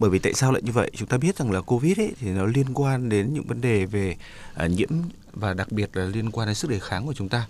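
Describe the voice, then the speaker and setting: Speaking at a very fast pace, a man uses a medium pitch with ordinary variation. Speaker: doctor. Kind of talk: radio health advice talk.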